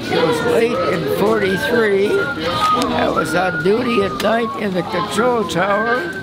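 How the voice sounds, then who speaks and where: Loud music plays in the background as a man talks at a fairly slow pace with hardly any pauses. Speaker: World War II veteran. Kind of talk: interview answer.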